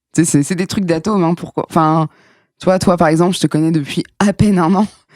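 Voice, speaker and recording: The delivery is animated and moves at a fairly quick pace. The sound is dry and close, with no echo. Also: woman, fairly low pitch for a woman. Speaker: comedian. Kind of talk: casual chat. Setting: studio. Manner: fast.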